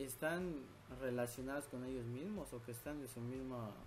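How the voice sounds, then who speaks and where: A man's medium-pitched voice at a moderate pace, with audible room echo. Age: 20s. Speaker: podcast host. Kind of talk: casual chat.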